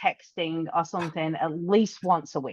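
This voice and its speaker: A woman with an English accent speaks at a moderate pace, the sound dry and close with no echo against a quiet background. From England. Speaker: podcast co-host, business owner. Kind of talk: casual chat.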